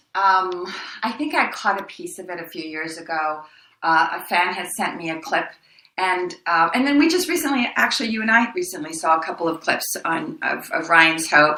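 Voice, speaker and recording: Against audible room echo, a woman at medium pitch speaks at a moderate pace, her pitch swinging very widely and her loudness rising and falling sharply. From El Paso, Texas (born in Mexico). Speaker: actress. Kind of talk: interview. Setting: podcast. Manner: animated.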